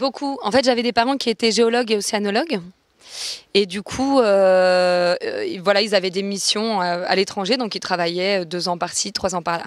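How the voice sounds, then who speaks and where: Speaking at a moderate pace and medium pitch with ordinary pitch variation, a woman uses a normal speaking voice in a very clean recording with a silent background. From born in Venezuela, raised in many countries. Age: 30s. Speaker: musician and masterclass teacher. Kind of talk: interview.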